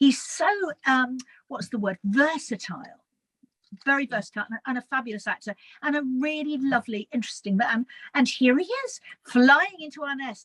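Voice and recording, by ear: In a dry, close sound with no echo, a woman speaks at a high pitch and moderate pace, her tone fairly bright and her intonation lively.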